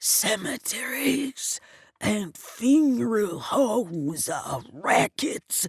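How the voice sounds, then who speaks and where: Someone uses a put-on character voice that is raspy and wheezy, with a fairly high pitch. The pace is very slow. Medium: read story. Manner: wheezing, through gritted teeth.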